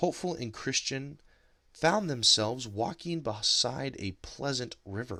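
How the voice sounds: In a natural reading voice, the speaker uses lively intonation.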